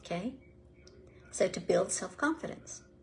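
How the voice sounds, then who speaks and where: The speech comes at a fairly slow pace, with vocal fry. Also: woman. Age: 70s. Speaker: life coach for older women. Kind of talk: motivational talk on a live video. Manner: animated; halting, many fillers.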